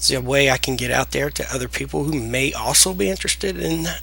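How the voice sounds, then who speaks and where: Over noticeable background noise, a man with a strong Southern US accent talks at a moderate pace with very wide pitch swings. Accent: deep Southern US. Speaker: software tutorial creator. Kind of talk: tutorial. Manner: casual, hesitant with fillers.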